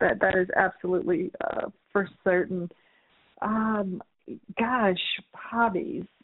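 A woman with an American accent and medium pitch talks at a very slow pace, with ordinary pitch variation and long, frequent pauses. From US South, New Orleans. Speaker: corporate communications executive. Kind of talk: interview. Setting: home office, remote interview.

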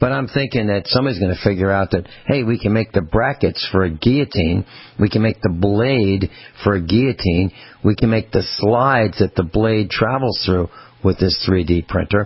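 A man speaks in a normal speaking voice at a fairly low pitch and a moderate pace. His loudness stays very even, and his pitch varies in an ordinary way. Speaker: radio host.

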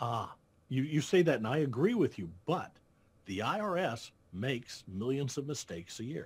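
Over a very clean recording with a silent background, a man with an American accent talks at a moderate pace in a medium pitch, his voice showing vocal fry and very wide pitch swings. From Iowa, US Midwest. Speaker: accountant and payroll business founder. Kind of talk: interview.

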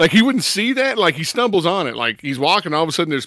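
A man talks at a very fast pace in a bright, sharp tone. His pitch swings very widely on a very clean recording with a silent background. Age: 40s. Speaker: film podcast host. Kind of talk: casual chat.

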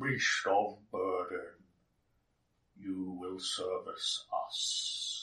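A man in a put-on character voice, very slow, with long, frequent pauses and a slight echo. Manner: commanding, menacing.

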